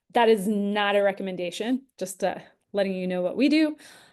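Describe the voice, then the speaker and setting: A woman with a plain, everyday voice, medium pitch, ordinary pitch variation and a moderate pace, over a quiet background. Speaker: investment educator and show host. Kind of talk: live webinar Q&A. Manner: casual with many fillers.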